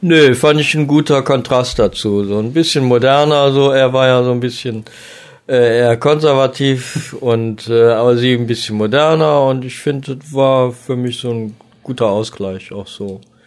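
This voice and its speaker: At a moderate pace, a man with an unremarkable speaking voice talks with fairly even intonation. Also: medium pitch for a man. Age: 50s. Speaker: chef and cooking podcaster. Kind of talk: casual chat.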